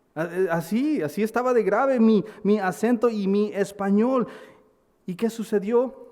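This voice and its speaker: A man with an American accent speaks at a fairly slow pace in a high pitch. His pitch variation is ordinary. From United States. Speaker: pastor. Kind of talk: sermon. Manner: halting, with repetitions.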